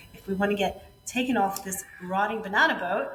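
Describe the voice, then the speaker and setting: With audible room echo and noticeable background noise, a woman speaks in a fairly high voice at a moderate pace. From New York City. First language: Spanish. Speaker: former yacht chef and entrepreneur. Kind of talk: podcast interview. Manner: animated.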